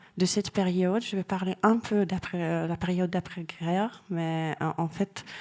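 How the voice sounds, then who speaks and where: A woman with a Hungarian accent, at a fairly slow pace. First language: Hungarian (speaking French). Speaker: art historian. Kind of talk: lecture. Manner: halting.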